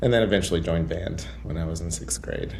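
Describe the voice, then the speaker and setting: Audible room echo carries a man's voice as his pitch swings very widely. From West Texas (Muleshoe). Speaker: high school band director. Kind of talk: interview podcast.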